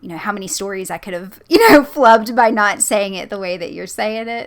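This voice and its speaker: A fairly high-pitched woman with a Southern US accent at a fairly quick pace, her loudness swinging widely. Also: lively intonation. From US South. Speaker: creepypasta narrator and channel host. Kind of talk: casual interview chat.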